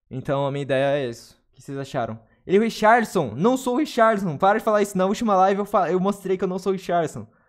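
Over a quiet background, a man with a high pitch races at a very fast pace with hardly any pauses, sounding animated with very wide pitch swings. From Brazil. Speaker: gaming streamer. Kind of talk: casual chat. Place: home room. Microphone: studio mic.

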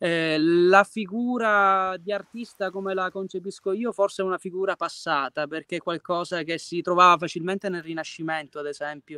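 A man talks in a high voice with a bright, sharp tone and fairly even intonation, with hardly any pauses. The sound is dry with no echo, over a quiet background. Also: moderate pace. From Sicily, province of Messina; Sicily. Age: 20s. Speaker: singer-songwriter and art teacher; interviewee. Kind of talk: video interview; interview answer. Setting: outdoors, at a Greek temple ruin. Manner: hesitant, many fillers. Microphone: video call.

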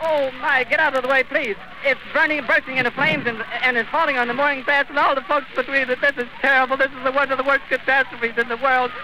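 Noticeable background noise surrounds a man whose voice has a dry sound with no echo. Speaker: radio reporter giving live eyewitness broadcast. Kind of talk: live radio news report. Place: open country. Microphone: old recording.

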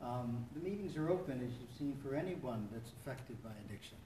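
Light background noise and audible room echo fill the clip. A man speaks at a moderate pace with ordinary pitch variation. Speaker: support meeting host. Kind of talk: welcome talk to a meeting. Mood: warm, encouraging. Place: church. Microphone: camera far.

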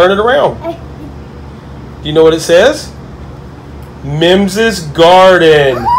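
Noticeable background noise sits behind a man's voice. He speaks at a fairly slow pace with lively intonation. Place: home room.

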